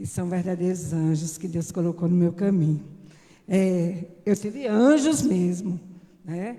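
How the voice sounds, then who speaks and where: The pace is moderate. Pitch variation is ordinary. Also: woman. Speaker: church member. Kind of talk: testimony.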